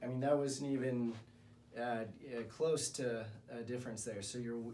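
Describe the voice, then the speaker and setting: Light background noise sits behind a man speaking. He keeps a moderate pace and fairly even intonation. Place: office.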